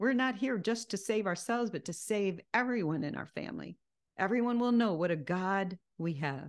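At a moderate pace, a woman with a medium pitch speaks over a quiet background. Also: lively intonation. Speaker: Bible teacher. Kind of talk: sermon. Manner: animated. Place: home room. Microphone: studio mic.

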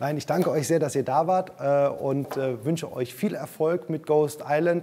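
The speaker has an enthusiastic tone, with light background noise. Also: man. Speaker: film interviewer. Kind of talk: interview. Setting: studio. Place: studio. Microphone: lapel.

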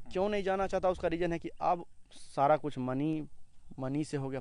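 Over a quiet background, a man with a fairly high pitch has a plain, everyday voice with ordinary pitch variation. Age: young. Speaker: local student. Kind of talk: interview.

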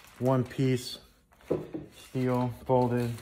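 A man talks over noticeable background noise. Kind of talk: casual unboxing commentary. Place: workshop. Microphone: phone near.

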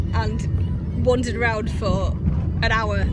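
Loud music plays in the background as a woman speaks, the sound dry with no echo. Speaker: travel vlogger. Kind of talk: casual vlog chat. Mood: amused, storytelling. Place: car. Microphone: phone near.

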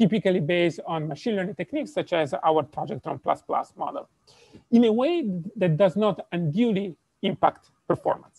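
A man with an Italian accent, high-pitched and lively in intonation, at a moderate pace, dry with no echo, over a quiet background. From Italy. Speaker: robotics professor. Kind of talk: lecture. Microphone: video call.

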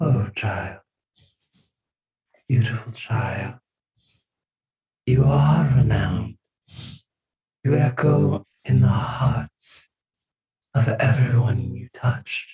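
Using a raspy put-on character voice at medium pitch, a man speaks at a very slow pace with long, frequent pauses. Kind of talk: solemn benediction. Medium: actual play. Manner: warm, motherly, gentle.

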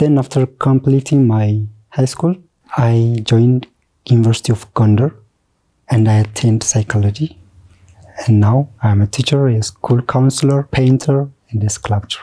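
The tone is dark and mellow and somewhat breathy, with long, frequent pauses, fairly even intonation, and very even loudness. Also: man, medium pitch for a man, moderate pace, quiet background. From Ethiopia, Borana/Moyale border region; Ethiopia. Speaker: teacher, school counselor and artist; teacher. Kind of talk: interview. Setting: studio. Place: studio. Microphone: lapel.

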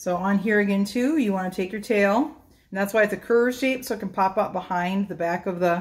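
A woman at a fairly quick pace with ordinary pitch variation. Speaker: presenter. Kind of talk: tutorial. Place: kitchen. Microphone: camera far.

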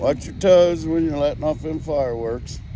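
The sound is dry, with no echo, but noticeable background noise. Pitch variation is ordinary. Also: man. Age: 60s. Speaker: oilfield worker and vlogger. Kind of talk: casual vlog narration. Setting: outdoors at an oil field site. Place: open country. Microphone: phone near.

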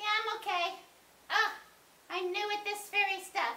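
A cartoonish character voice, female-sounding and extremely high in pitch, comes through at a moderate pace. Its intonation is monotone and flat. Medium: puppet show.

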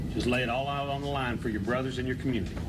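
Through loud background noise, a man speaks at a very fast pace. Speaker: high school football coach. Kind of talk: coach's interview and locker room talk.

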